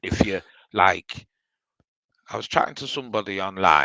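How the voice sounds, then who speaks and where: A man's bright, sharp tone carries audible vocal fry. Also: dry, close sound with no echo. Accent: British. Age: 60s. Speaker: live stream participant. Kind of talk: casual chat.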